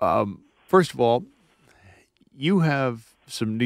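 Over a quiet background, a man talks with lively intonation in a dry sound with no echo. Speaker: radio host. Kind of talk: radio interview. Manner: formal. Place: studio.

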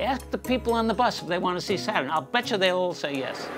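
Against clear background music, a man talks at a fairly quick pace, his pitch swinging very widely. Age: 80s+. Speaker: amateur astronomer. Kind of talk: documentary interview answer. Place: home room.

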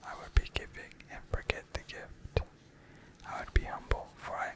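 Someone whispers, soft-spoken, at a fairly slow pace. Loud background noise fills the recording. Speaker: poetry reader. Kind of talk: reading poems aloud. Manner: soft ASMR whisper reading poetry.

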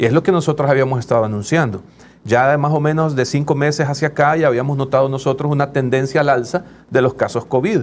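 A man with a fairly high voice talks very fast at a very even loudness, with light background noise. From El Salvador. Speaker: doctor and union leader. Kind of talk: interview. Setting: studio. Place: studio. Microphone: lapel.

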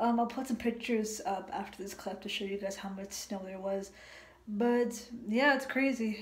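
Over noticeable background noise, a woman talks at a fairly high pitch with fairly even intonation. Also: moderate pace. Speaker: vlogger. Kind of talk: casual vlog. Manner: casual, filler-heavy.

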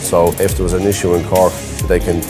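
Clear music plays in the background as the speaker talks at a very fast pace. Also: man. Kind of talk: interview answer. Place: garage.

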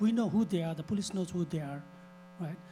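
Music plays in the background as a man talks in a high voice. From Nepal. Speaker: city council candidate, restaurant owner. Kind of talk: candidate forum answer. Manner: halting, repetitive restarts.

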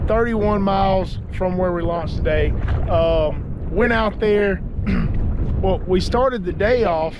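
Amid noticeable background noise, a man speaks at a very slow pace in a dry sound with no echo. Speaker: fishing vlogger. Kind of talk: casual vlog chat. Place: boat. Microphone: phone near.

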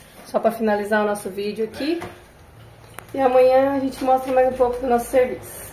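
A woman speaks in a high voice with fairly even intonation and long, frequent pauses, with audible room echo and light background noise. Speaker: construction vlogger. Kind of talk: casual vlog narration. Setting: construction site. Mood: cheerful, teasing. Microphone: phone near.

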